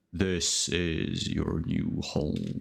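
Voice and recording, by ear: Putting on a character voice, a man speaks with a very deep, low pitch and a gravelly texture.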